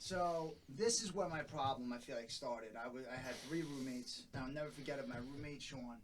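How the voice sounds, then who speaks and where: Talking at a fairly quick pace with hardly any pauses, a man with a Long Island accent uses a fairly high pitch and ordinary pitch variation amid audible room echo. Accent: Long Island New York. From Long Island, New York (north shore). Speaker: podcast guest in recovery. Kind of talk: casual chat, recovery testimony.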